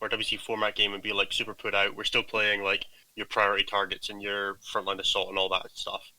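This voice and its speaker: A very fast pace in a strong Scottish accent. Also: man. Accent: Scottish, thick. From Scotland. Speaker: gaming team captain. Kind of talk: casual chat.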